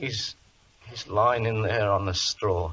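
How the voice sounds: This man puts on a character voice with a fairly low pitch and a slightly husky edge. He speaks slowly, his intonation fairly even.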